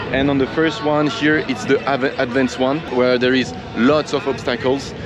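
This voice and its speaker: A man with a French accent speaks at a moderate pace in a medium pitch, his intonation fairly even, over noticeable background noise. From France. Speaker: wakeboard park owner and vlogger. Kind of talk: vlog presentation and interview. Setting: outdoors at a cable park. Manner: hesitant with fillers.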